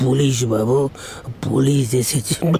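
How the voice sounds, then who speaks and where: Someone performs a put-on character voice with fairly even intonation. Background noise is clearly audible. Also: man, medium pitch for a man. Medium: read story.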